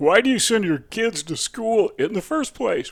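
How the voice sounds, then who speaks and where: A man with an American accent talks at a moderate pace in a very clean recording with a silent background. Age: 70s. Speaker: political commentator. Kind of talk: opinion monologue. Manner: conversational, with filler uhs.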